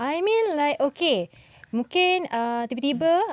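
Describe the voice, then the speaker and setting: Her pitch swinging very widely, a woman is heard in a dry, close recording with no echo. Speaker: radio host. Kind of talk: casual interview.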